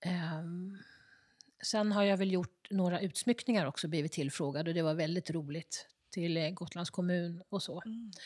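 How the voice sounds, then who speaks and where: With an unremarkable speaking voice, a woman of fairly low pitch talks at a fairly slow pace with ordinary pitch variation on a very clean recording with a silent background. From Stockholm, Södermalm. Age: 60s. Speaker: ceramicist. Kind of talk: interview. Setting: her pottery workshop.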